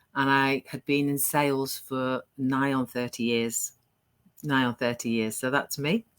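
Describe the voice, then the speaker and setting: A woman's very deep, low voice at a fairly slow pace, fairly even in intonation, with a dry, close sound and no echo. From northern England, near Liverpool. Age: 60s. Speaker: online business entrepreneur. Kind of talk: interview.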